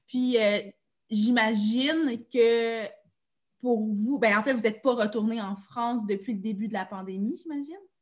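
The voice is somewhat breathy, with ordinary pitch variation. It moves at a fairly slow pace against a quiet background. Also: woman, fairly high pitch for a woman. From Abitibi-Témiscamingue, Quebec. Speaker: podcast host. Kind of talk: casual interview.

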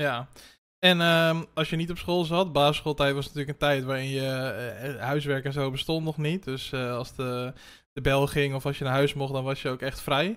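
In a very clean recording with a silent background, a man has an unremarkable speaking voice. His pitch is fairly high, his intonation fairly even, and his pace moderate. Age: 30s. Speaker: podcast host. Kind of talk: interview conversation.

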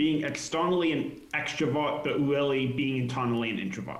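Noticeable background noise runs under the speech, and room echo is audible. The pitch varies in an ordinary way. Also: man. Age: 20s. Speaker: software project lead running for mayor. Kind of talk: casual chat.

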